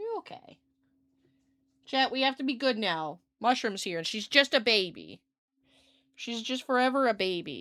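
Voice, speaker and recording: On a very clean recording with a silent background, a woman speaks in a fairly high pitch with an animated, bright, sharp tone, lively intonation, big swings in loudness and long, frequent pauses. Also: moderate pace. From Scotland. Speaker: streamer. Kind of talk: casual chat. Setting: livestream.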